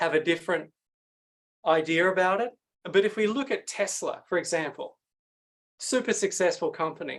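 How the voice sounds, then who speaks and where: Speaking at a moderate pace, a man talks in an Australian accent. He has a high pitch with ordinary variation. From Sydney, Australia. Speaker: pitch coach and speaker. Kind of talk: masterclass presentation.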